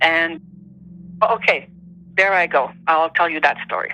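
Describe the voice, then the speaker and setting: A woman speaks with a Quebec accent. Her pitch is fairly low. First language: French. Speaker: interviewee sharing paranormal experiences. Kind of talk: personal testimony in interview.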